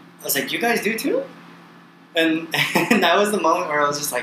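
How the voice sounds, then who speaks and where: A man with an American accent speaks at a fairly high pitch with very wide pitch swings. Noticeable background noise runs under his voice. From US California. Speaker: guest, traveler. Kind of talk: casual chat. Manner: energetic, enthusiastic.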